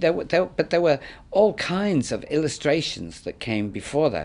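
This man's pitch swings very widely as he speaks. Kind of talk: interview answer. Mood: warm, anecdotal. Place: studio.

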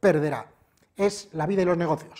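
A man talks fairly quickly with quiet surroundings. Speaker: presenter. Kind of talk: review and tutorial. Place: shop. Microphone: lapel.

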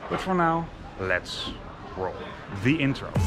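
Noticeable noise fills the background. The voice belongs to a man. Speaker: travel vlogger. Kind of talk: casual vlog chat. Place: street. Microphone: phone near.

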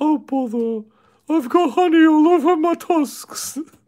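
A put-on character voice sits at a high pitch. It moves at a fairly slow pace. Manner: imitation, self-described as bad.

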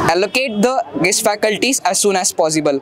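A man's voice sounds dry with no echo, with crowd noise in the background. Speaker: student protester. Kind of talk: protest speech. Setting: outdoors at a protest. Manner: halting. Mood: earnest, appealing. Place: street. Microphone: handheld.

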